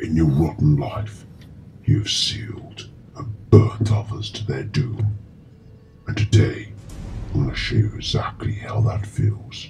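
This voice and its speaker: Over music in the background, a menacing voice moves at a fairly slow pace with ordinary pitch variation and long, frequent pauses. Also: man, fairly low pitch for a man. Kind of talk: horror villain monologue. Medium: short film. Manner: slow, cold, menacing.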